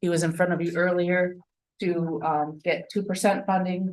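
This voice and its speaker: A woman's fairly low pitch at a fairly slow pace. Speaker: county emergency management coordinator. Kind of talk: presentation at public meeting. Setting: county board meeting room. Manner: hesitant, many ums.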